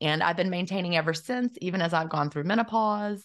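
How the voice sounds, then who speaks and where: A woman with a fairly low pitch and lively intonation speaks in a plain, everyday voice over a quiet background. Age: 50s. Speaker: intermittent fasting author and former teacher. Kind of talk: interview.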